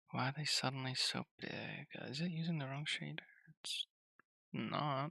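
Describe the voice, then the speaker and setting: A soft-spoken whisper in a dry, close sound with no echo. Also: man, moderate pace. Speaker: game developer streamer. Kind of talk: live coding stream. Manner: soft-spoken, near whispering. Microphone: too quiet, mic gain at max.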